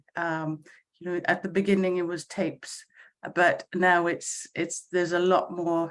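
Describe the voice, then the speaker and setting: Someone talks at a very slow pace with a Welsh accent. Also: woman. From Wales. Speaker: choir conductor. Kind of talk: casual chat. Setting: video call. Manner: halting.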